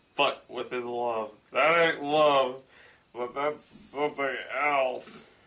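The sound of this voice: The reading voice sounds unforced, and the intonation stays fairly even.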